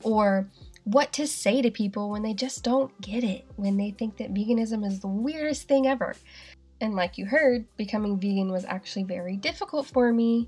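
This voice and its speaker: Pitched fairly high, a woman talks with a slight Southern US accent. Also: ordinary pitch variation, moderate pace. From Asheville, North Carolina. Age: 20s. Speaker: podcast host. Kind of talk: solo podcast monologue, casual.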